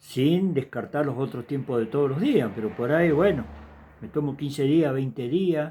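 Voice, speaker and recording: A man with an Argentine accent speaks in a dark, mellow tone with ordinary pitch variation. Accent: Rioplatense Argentine Spanish. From Argentina. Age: 70s. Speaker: evangelist preacher. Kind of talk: sermon. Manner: casual, conversational.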